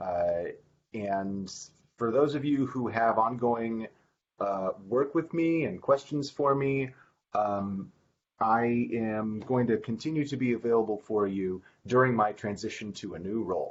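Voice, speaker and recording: A man speaks at a fairly slow pace. His medium pitch shows ordinary variation. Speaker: software architect. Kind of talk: team meeting update.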